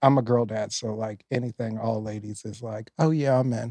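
A man speaks in a dark, mellow tone with fairly even intonation, the sound dry and close with no echo. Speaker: podcast interviewer. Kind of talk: casual interview chat.

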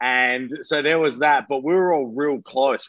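A man with an Australian accent speaks at a moderate pace, his medium-pitched voice holding a fairly even intonation. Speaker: metalcore vocalist. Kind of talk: interview.

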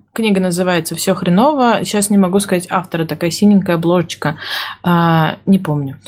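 Somewhat breathy, a woman talks at a fairly quick pace with a medium pitch and ordinary pitch variation. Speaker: project manager. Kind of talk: casual chat. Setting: studio.

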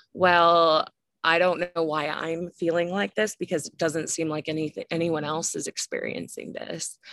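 A woman with a fairly low pitch and an unremarkable speaking voice talks at a moderate pace, in a dry, close sound with no echo on a very clean recording with a silent background. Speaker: psychiatry resident. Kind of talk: casual interview conversation.

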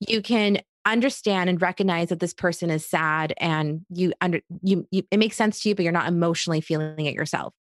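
With an American accent and an unremarkable speaking voice, this woman talks at a fairly quick pace with hardly any pauses, her pitch fairly low and her intonation fairly even. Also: very even loudness, dry, close sound with no echo. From third culture kid: Egypt, Iraq, Australia, then Queens, New York. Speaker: clinical psychologist. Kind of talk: casual interview.

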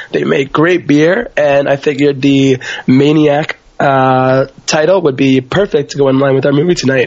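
A man's fairly high-pitched voice at very even loudness, with noticeable background noise. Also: ordinary pitch variation, moderate pace. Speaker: podcast co-host. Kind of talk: casual chat.

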